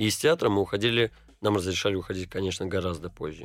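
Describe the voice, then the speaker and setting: In a very clean recording with a silent background, a man with an ordinary speaking voice talks at a fairly low pitch with ordinary pitch variation. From St. Petersburg, Russia. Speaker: actor. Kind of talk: interview.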